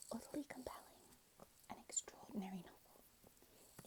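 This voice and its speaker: A whisper comes through with clear noise behind it. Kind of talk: ASMR book talk and reading, whispered to camera. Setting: lo-fi home mic setup, poor audio quality. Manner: soft-spoken, whispering.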